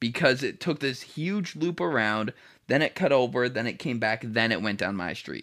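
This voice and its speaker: A man talks in an ordinary speaking voice at medium pitch. His pace is moderate and his intonation lively. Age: 20s. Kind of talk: casual chat.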